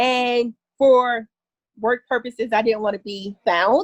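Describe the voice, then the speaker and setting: The recording is dry and close with no echo, and a woman speaks at a high pitch. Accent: American. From North New Jersey, US. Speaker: author. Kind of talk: interview.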